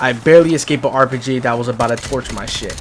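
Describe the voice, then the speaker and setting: Noticeable background noise sits behind a man who talks fairly quickly with ordinary pitch variation. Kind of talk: comedic gameplay voiceover commentary. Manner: casual, profane, comedic.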